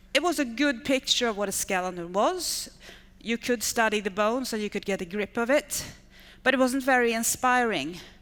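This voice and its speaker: A woman with a non-native accent and a fairly high pitch speaks at a moderate pace with lively intonation, on a very clean recording with a silent background. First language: not English. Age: 50s. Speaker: education technology manager. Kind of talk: conference talk.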